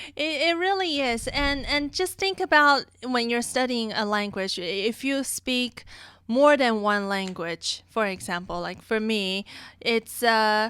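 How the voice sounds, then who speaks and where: A woman talks at a fairly slow pace with a non-native accent. Her fairly high voice is bright and sharp, with very wide pitch swings. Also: very clean recording, silent background. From outside the US. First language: not English. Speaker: music teacher. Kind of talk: casual chat.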